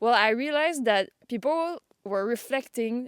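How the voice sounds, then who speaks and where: The voice speaks in a French Canadian accent with lively intonation. The sound is dry and close, with no echo. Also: woman. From Quebec, suburbs of Montreal. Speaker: vlogger. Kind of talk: casual vlog monologue. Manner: halting.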